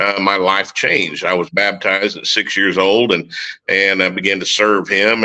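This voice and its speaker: In a strong Oklahoma accent, a man talks at a moderate pace with a fairly low pitch and a bright, sharp tone. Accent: Oklahoma country accent, strong. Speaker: military veteran and recording artist. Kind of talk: testimony.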